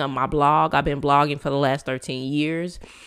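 A woman speaks with a raspy, very deep, low pitch. The recording is very clean with a silent background. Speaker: podcast host. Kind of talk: solo inspirational monologue.

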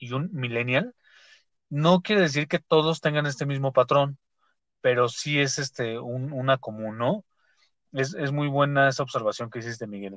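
With a fairly high pitch, a man talks at a moderate pace, heard in a dry, close sound with no echo against a quiet background. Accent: Mexico City. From Mexico City. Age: 30s. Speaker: podcast host. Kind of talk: casual chat. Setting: studio.

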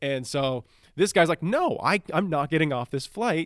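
Over a very clean recording with a silent background, a man speaks at a moderate pace in a plain, everyday voice with lively intonation, the sound dry and close with no echo. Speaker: podcast host. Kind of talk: casual comedy banter. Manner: joking, interrupting.

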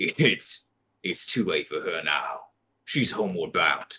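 A man puts on a character voice. It sounds raspy and moves at a very slow pace. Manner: groggy, chuckling, menacing.

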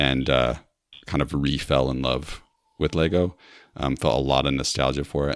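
Dry and close with no echo, a man's very deep, low voice shows vocal fry and fairly even intonation. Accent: American. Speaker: former podcast host, Lego enthusiast. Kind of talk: casual interview chat.

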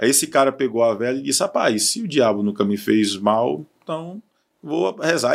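Speaking in an ordinary speaking voice, a medium-pitched man talks at a fairly quick pace with lively intonation. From Ceará, Cariri region (Barbalha). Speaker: radio sports journalist. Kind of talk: casual chat.

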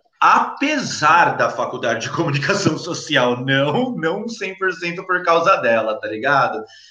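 Audible room echo surrounds a man whose fairly high voice has lively intonation. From São Paulo, Brazil (Capão Redondo). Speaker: cannabis content creator. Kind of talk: casual interview.

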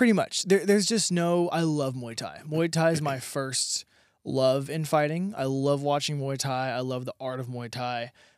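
A plain, everyday voice from a man with an American accent, fairly high in pitch with ordinary pitch variation, at a moderate pace, on a very clean recording with a silent background. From South Texas. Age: 20s. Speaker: professional MMA fighter. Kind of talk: casual interview.

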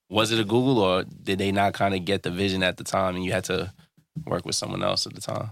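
A man with a New York accent speaks at a very fast pace in a fairly low pitch. His intonation stays fairly even. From New York, Brooklyn. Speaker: podcast host. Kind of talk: casual interview. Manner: casual slangy.

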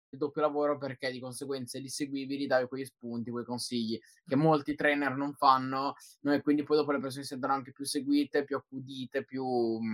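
In a dry, close recording with no echo, a man with a fairly high voice speaks fairly quickly. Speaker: podcast host. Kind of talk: live podcast chat. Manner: energetic.

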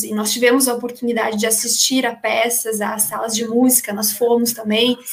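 Speaking at a moderate pace, a woman with a high pitch keeps a flat, monotone intonation. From small town in Brazil. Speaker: teacher, former scholarship student. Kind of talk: casual interview.

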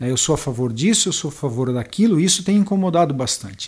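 His intonation is lively. The man keeps his delivery at a moderate pace. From western Santa Catarina, Brazil. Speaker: municipal health director and pharmacist. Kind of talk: interview.

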